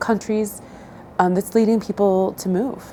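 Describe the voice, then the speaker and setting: Over noticeable background noise, the speaker moves at a very slow pace with ordinary pitch variation. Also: woman. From southern Idaho, US. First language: Spanish. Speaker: interviewee. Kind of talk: interview answers. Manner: hesitant, many fillers.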